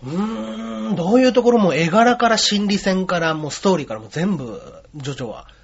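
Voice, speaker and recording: The voice makes very wide pitch swings and big swings in loudness at a moderate pace. Noticeable background noise runs throughout. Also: man, high pitch for a man. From Osaka, later Yokohama. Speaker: comedian. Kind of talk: interview.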